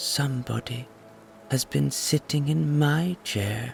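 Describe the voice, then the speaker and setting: Someone speaks in a put-on character voice at a fairly slow pace. Background noise is clearly audible. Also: man, medium pitch for a man. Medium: read story.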